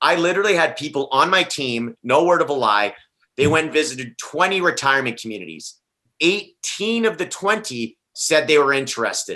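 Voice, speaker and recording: Loud and animated, a man talks at a fairly quick pace in a bright, sharp, fairly high voice with lively intonation. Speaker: top listing real estate agent. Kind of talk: panel discussion.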